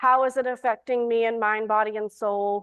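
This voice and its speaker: A woman's fairly high-pitched voice with a Southern US accent. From US South, Alabama. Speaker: priest and recovery coach. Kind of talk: talk to a church audience.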